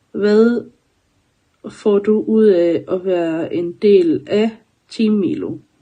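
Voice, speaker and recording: Pitch moves in an ordinary way. The voice carries a dark, mellow tone. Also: woman. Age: 30s. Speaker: community member. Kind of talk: self-introduction answering questions.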